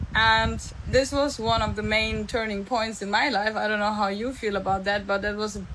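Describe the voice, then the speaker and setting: Fairly high-pitched woman's voice with a German accent, monotone and flat in intonation, at a moderate pace, with audible room echo. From Germany. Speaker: entrepreneur and mentor. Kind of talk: live stream monologue. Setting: live stream. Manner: casual, with fillers.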